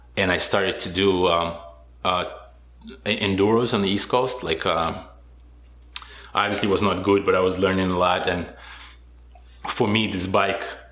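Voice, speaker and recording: A man with a very deep, low voice speaks at a moderate pace in a monotone, flat intonation, leaving long, frequent pauses amid audible room echo. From Israel. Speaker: motorcycle rally racer. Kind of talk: interview. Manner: hesitant, many fillers.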